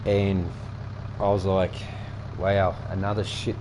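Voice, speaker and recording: A man with an Australian accent speaks at a moderate pace in a fairly low voice, with audible room echo and noticeable background noise. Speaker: gaming streamer. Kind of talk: casual gameplay commentary. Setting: home, windows open.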